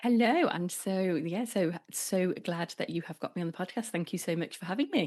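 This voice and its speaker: Speaking with a British accent, a woman uses a medium-pitched voice. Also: ordinary pitch variation, moderate pace. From England, North Devon. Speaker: relationship coach. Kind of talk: casual interview chat.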